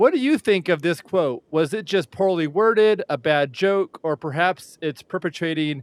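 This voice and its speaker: On a very clean, dry, close recording with a silent background and no echo, a man with an ordinary speaking voice talks at a moderate pace with ordinary pitch variation. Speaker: podcast host. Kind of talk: interview.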